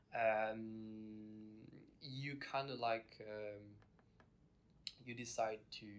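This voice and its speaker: A man with a medium pitch speaks at a very slow pace in a flat monotone, leaving long, frequent pauses, with audible echo from the room. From France. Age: 20s. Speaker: exchange student. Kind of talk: casual interview chat. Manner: hesitant, many fillers.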